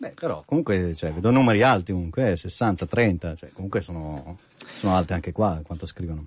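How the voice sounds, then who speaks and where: A man with a very deep, low pitch and ordinary pitch variation at a fairly quick pace. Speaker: app developer, regular guest. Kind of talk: casual chat. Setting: radio studio. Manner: joking, humorous.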